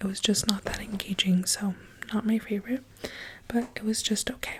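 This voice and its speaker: A soft-spoken woman at a moderate pace. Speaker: ASMR creator, book reviewer. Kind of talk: book review, ASMR soft speaking.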